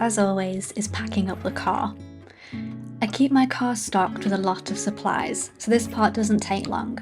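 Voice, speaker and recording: The talking unfolds rather slowly against background music. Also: woman. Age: 20s. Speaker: hiking vlogger. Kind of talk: travel vlog voiceover.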